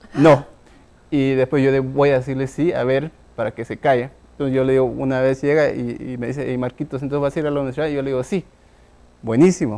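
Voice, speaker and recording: Very fast in pace, a man speaks at a medium pitch with a dark, mellow tone and fairly even intonation. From Guatemala, Huehuetenango highlands; Guatemala. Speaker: tech entrepreneur; guest. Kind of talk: interview. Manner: halting, many fillers. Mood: reflective, storytelling. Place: studio. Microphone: lapel.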